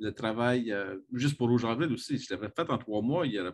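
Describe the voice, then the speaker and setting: In a quiet setting, a man with a Quebec accent speaks at medium pitch and a moderate pace, with ordinary pitch variation. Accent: Québécois French. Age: 50s. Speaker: comics scholar and university program director. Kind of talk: interview.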